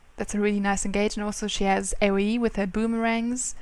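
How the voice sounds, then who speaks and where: A woman with a non-native accent speaks at a fairly quick pace. Her pitch is fairly high. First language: not English. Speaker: gaming youtuber. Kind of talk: gameplay commentary. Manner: halting.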